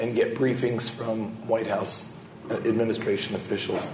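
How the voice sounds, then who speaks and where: A man with an American accent, medium pitch and a moderate pace, in a room with audible echo and noticeable background noise. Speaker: scholar and government program adviser. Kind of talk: panel discussion. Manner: halting, many fillers and repetitions.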